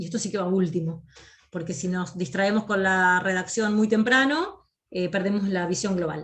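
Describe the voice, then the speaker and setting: A woman at a moderate pace and medium pitch. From Argentina, Río de la Plata region (provincial). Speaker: academic writing instructor. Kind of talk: lecture. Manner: clear; frequent hesitation fillers.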